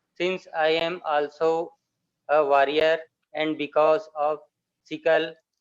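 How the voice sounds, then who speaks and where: With an Indian accent, a man speaks in a monotone, flat intonation at a fairly slow pace. The sound is dry and close, with no echo. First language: Hindi. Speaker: sickle cell patient advocate. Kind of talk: panel introduction. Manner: halting.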